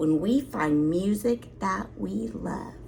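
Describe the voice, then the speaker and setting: A woman performs a put-on character voice at a very slow pace, pitched very deep and low. Her pitch swings very widely, and background noise is clearly audible. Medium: read story.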